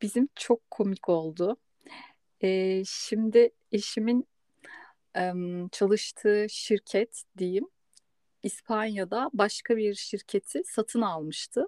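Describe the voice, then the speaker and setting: With a dark, mellow tone and a fairly high pitch, a woman speaks at a very slow pace with long, frequent pauses and ordinary pitch variation in a dry, close sound with no echo. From Istanbul, Turkey. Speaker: podcast host on migration psychology. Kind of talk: casual chat.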